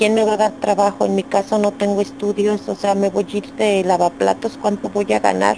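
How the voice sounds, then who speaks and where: Over noticeable background noise, a woman speaks with ordinary pitch variation and very even loudness. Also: medium pitch for a woman, moderate pace, hardly any pauses. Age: 40s. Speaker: YouTube video creator, divorced mother. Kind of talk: interview testimony.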